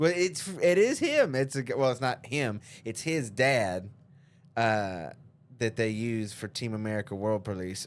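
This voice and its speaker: A man speaking at medium pitch keeps a moderate pace and ordinary pitch variation, captured on a very clean recording with a silent background. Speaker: podcast host. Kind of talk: casual chat. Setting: podcast studio, no headphones. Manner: loud; halting, stumbling.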